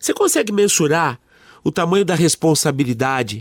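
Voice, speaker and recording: A man's lively, moderately paced speech, dry and close with no echo, on a very clean recording with a silent background. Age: 50s. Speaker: radio host. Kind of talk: radio interview.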